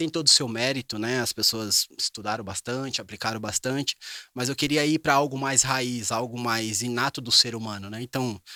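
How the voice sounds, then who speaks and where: Recorded very cleanly against a silent background, a man of medium pitch has a bright, sharp tone with a dry, close sound and no echo. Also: fairly even intonation, moderate pace. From Greater São Paulo, Brazil. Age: 30s. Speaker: business strategist and NLP trainer. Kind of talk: interview conversation.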